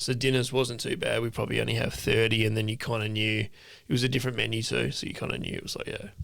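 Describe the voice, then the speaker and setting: A man talks very fast in an Australian accent. Audible room echo surrounds his voice. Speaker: podcast co-host, ex-chef. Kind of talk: casual chat. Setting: home studio.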